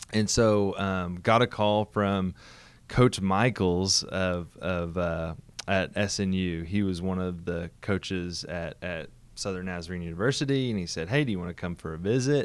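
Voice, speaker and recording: A man's very deep, low voice with ordinary pitch variation, on a very clean recording with a silent background. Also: moderate pace. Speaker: pastor. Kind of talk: casual interview chat.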